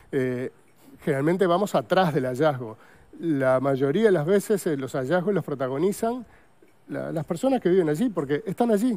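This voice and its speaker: A man's fairly high-pitched voice, dark and mellow in tone, with lively intonation at a moderate pace. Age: 60s. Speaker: paleontologist; guest. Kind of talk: TV interview. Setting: TV studio. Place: studio. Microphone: lapel.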